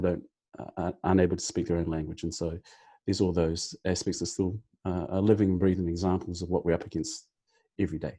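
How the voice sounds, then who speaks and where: Against a quiet background, a man with a very deep, low pitch and a dark, mellow tone rushes along at a very fast pace with fairly even intonation. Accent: New Zealand. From New Zealand (Māori). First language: Māori. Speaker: team captain guest on podcast. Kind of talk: podcast discussion. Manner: halting, many fillers.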